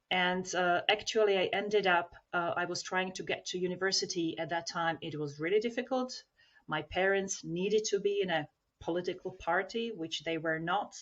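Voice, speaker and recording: Moderate pace and ordinary pitch variation in a Slovak accent. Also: woman, medium pitch for a woman. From Slovakia (former Czechoslovakia). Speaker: self-development trainer. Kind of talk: podcast interview.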